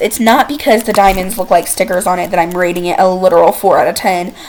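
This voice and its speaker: The speaker is a woman. Noticeable background noise is present. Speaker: gaming YouTuber. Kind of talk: casual game commentary. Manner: fast; animated.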